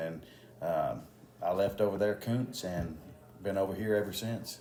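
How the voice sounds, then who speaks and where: A man talks with a Texan accent in a fairly low pitch. His pace is fairly quick and his intonation fairly even. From Texas, Houston area. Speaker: police officer and election candidate. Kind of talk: interview. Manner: halting, many fillers.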